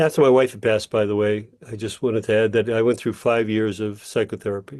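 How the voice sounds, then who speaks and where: A man with a medium pitch speaks very fast, keeping his intonation fairly even. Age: 60s. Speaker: healing practitioner and coach. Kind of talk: interview. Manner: halting.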